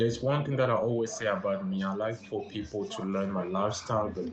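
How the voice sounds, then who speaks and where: A man's medium-pitched voice with lively intonation, amid noticeable background noise and audible room echo. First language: French. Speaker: language teacher livestreamer. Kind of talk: livestream language lesson. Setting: livestream on social app.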